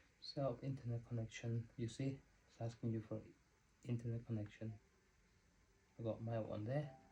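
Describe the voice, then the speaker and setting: Speaking at a medium pitch with flat, monotone intonation, a man sounds somewhat breathy and dark and mellow in tone, leaving long, frequent pauses. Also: moderate pace. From Spain or Spanish-speaking country. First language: Spanish. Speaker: vlogger. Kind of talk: unboxing tutorial. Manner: casual, conversational.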